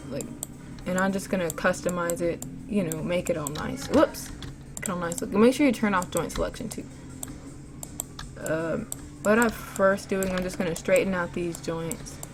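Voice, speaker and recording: Amid noticeable background noise, a woman with a fairly low pitch speaks with long, frequent pauses. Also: ordinary pitch variation, moderate pace. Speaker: animation tutorial youtuber. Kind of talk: tutorial. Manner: casual.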